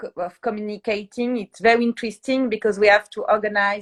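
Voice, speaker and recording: Recorded dry and close with no echo, a woman with a French accent speaks at a fairly high pitch with fairly even intonation. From France. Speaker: PR agency founder. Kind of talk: interview. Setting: livestream. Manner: halting.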